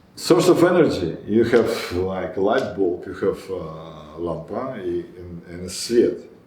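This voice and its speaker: A man at fairly low pitch, with audible room echo and noticeable background noise. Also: big swings in loudness. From Israel. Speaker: spiritual teacher. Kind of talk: lecture; group discussion. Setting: meeting hall with small group. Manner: halting.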